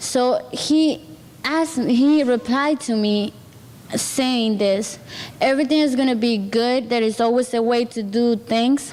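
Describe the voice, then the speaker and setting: A high-pitched woman with a Spanish accent speaks at a fairly slow pace. Her loudness stays very even, and there is noticeable background noise. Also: ordinary pitch variation. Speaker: program participant, student. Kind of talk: testimony. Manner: halting.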